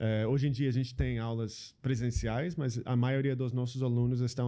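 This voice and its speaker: With fairly even intonation and an American accent, a man's voice carries a dark, mellow tone. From US Pacific Northwest (Seattle). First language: English (speaking Portuguese). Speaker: social entrepreneur. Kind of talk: interview conversation. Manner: halting, many fillers.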